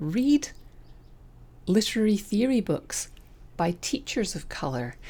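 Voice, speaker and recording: A woman speaks with a Scottish accent on a very clean recording with a silent background. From Scotland; raised in southern England. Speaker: podcast host, writing coach. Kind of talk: opinion monologue. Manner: animated.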